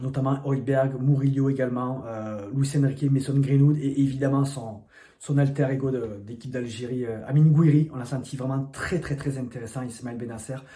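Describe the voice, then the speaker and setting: There is noticeable background noise behind this voice. It has a southern French accent and moves at a moderate pace. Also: man, medium pitch for a man. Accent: southern French, sing-song. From southern France. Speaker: football journalist. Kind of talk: football commentary to camera. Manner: enthusiastic.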